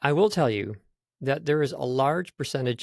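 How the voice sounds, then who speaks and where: Lively intonation marks this man's speech at a moderate pace. The recording is very clean with a silent background, and the sound is dry and close, with no echo. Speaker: voiceover studio CEO and speaking coach. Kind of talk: interview. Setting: podcast. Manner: occasionally fumbles for words.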